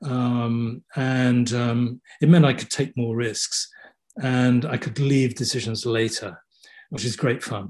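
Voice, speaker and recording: The speaker is a man at medium pitch. He talks at a very slow pace with fairly even intonation. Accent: southern English. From southeast England (Kent). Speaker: theatre set and costume designer. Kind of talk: interview. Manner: halting.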